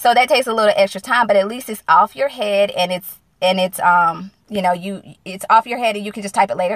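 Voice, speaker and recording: A woman talks fairly quickly in a Southern US accent at a medium pitch with ordinary variation. The sound is dry and close with no echo, against a quiet background. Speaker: single-mom business coach. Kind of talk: live-stream casual talk. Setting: in a car.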